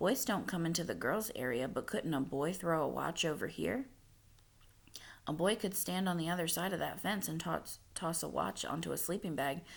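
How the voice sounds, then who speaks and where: A put-on character voice, raspy, gruff and growling, at a middle pitch and a moderate pace, in a very clean recording with a silent background. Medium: read story. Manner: gruff but kindly.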